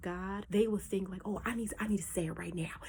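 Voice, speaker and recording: Animated and somewhat breathy, a woman speaks at a medium pitch. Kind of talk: casual Bible teaching.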